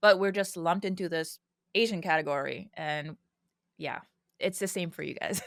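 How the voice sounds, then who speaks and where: A woman's medium-pitched voice in an American accent, with fairly even intonation, a moderate pace and long, frequent pauses. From Mauritius. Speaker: musician, former tech worker. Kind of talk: podcast interview. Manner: outspoken.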